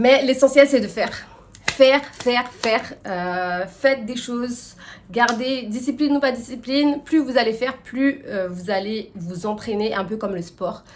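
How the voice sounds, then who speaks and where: A woman with a fairly high pitch speaks at a moderate pace with ordinary pitch variation. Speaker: lifestyle and personal development youtuber. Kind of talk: casual advice monologue to camera. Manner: hesitant, many fillers.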